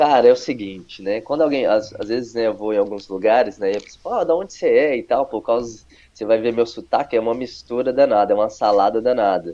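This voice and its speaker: Speaking at a very fast pace, a man with a medium-pitched, dark and mellow voice shows ordinary pitch variation. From Brazil, Paraíba then Ribeirão Preto (São Paulo). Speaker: pastor. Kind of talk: testimony interview.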